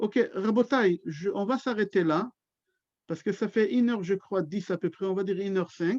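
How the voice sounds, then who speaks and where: A man with a Hebrew accent speaks at a high pitch with ordinary pitch variation. The sound is dry and close with no echo, over a quiet background. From Israel. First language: Hebrew (speaking French). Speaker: rabbi. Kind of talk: religious lecture. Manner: slow.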